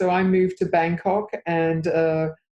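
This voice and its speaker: With an Australian accent, a woman speaks in a fairly low voice with a dark, mellow tone. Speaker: interior designer. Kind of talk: interview. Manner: hesitant, many fillers.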